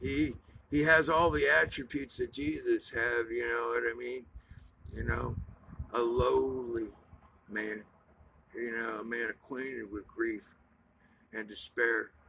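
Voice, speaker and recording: A man at a fairly slow pace, long and frequent pauses, and noticeable background noise. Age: 60s. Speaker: preacher. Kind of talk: sermon. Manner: rambling, halting.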